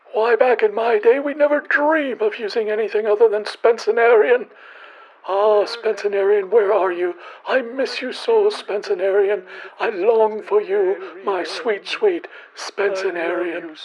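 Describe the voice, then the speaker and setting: In a put-on character voice, a female-sounding speaker talks at a moderate pace with fairly high pitch. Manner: mild-mannered, wistful, nostalgic.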